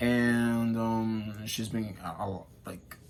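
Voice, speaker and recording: The recording carries audible room echo. A man speaks at a medium pitch. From Dominican Republic, Santiago. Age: 30s. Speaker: education student. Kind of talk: class presentation. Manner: halting, many fillers.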